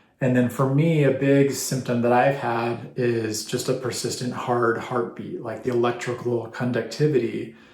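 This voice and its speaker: In a room with audible echo, a man speaks at a fairly slow pace with medium pitch and monotone, flat intonation. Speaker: vlogger sharing personal health story. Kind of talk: personal testimony to camera. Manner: halting, trips over words; unscripted, many fillers.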